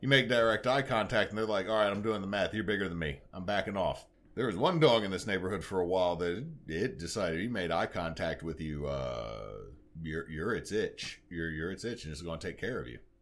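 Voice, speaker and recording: A man with a very deep, low voice and a Louisiana accent talks at a fairly quick pace with vocal fry and lively intonation, recorded very cleanly against a silent background. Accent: Louisiana Southern US. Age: 30s. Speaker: podcast host. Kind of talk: casual chat.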